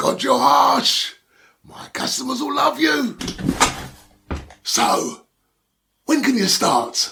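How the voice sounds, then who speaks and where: A man's put-on character voice, high-pitched, with big swings in loudness, long and frequent pauses, and a very slow pace. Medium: read story. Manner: sighing, hesitant, stammering.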